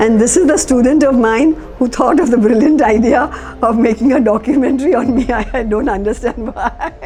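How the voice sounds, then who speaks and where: Over noticeable background noise, a woman with a high pitch speaks at a fairly quick pace, her loudness very even and her pitch variation ordinary. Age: 80s+. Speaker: retired teacher. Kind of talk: reminiscing interview.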